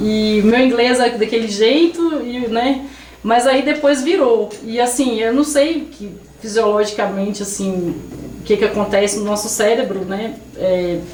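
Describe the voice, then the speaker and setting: A woman at a fairly high pitch with ordinary pitch variation and a fairly slow pace, amid noticeable background noise and audible room echo. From Brazil, Minas Gerais (Carmo do Rio Claro). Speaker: Brazilian expat worker interviewed. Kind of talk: podcast interview. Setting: studio. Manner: hesitant, many false starts.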